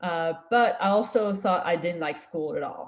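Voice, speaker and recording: Someone with a French accent speaks at a fairly slow pace. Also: woman. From France. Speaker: scientist. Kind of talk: career talk to students.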